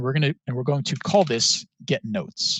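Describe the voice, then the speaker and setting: Somewhat breathy and fairly high-pitched, a man speaks with lively intonation in a dry, close sound with no echo. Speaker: student hackathon workshop instructor. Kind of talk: tutorial. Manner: fast; casual, filler words.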